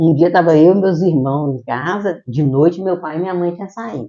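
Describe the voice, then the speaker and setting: A man talks at a moderate pace with lively intonation. His pitch is high. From Minas Gerais, Brazil (Esmeraldas, Sete Lagoas, Belo Horizonte). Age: 60s. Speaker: podcast guest. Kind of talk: interview, personal life stories. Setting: podcast recording with live audience.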